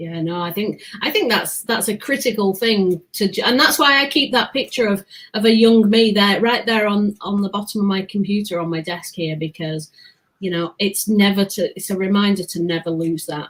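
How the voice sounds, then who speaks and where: A woman with a British accent speaks in a somewhat breathy voice, her pitch varying in an ordinary way. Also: medium pitch for a woman, moderate pace. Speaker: podcast host guest. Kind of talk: casual interview chat.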